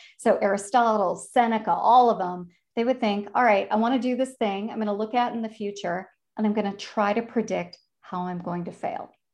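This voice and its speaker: In a Chicago accent, a woman speaks fairly quickly at a fairly high pitch with fairly even intonation against a quiet background. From Chicago, US Midwest. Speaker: career advisor and author. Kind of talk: casual interview chat.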